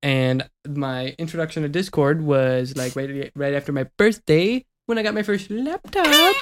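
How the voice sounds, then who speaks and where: This man has an ordinary speaking voice, fairly high in pitch, with ordinary pitch variation and a fairly slow pace. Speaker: YouTuber and podcast co-host. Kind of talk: casual chat.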